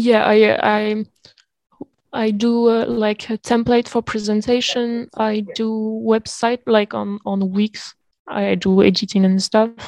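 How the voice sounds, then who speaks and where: Very slowly and in a monotone, flat intonation, a woman with a French accent speaks at a fairly high pitch, the sound dry and close with no echo. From Reunion Island. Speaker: neuroscience PhD student. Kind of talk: casual interview. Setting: video call. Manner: halting.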